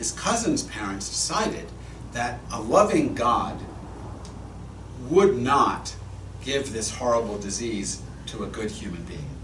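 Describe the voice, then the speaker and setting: With an American accent, a man talks at a fairly slow pace with long, frequent pauses and big swings in loudness, amid noticeable background noise and audible room echo. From Massachusetts. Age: 60s. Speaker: rabbi. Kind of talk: sermon. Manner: conversational, storytelling.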